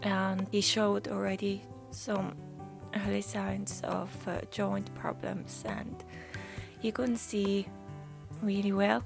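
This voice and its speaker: A woman speaking at a very slow pace, with long, frequent pauses and music in the background. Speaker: watercolor painter. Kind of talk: casual talk while painting. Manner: hesitant, with fillers.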